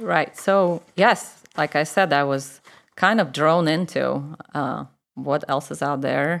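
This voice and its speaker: In a Russian accent, a woman with a very deep, low pitch and vocal fry speaks very slowly with lively intonation, on a very clean recording with a silent background. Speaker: church member. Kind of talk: personal testimony interview.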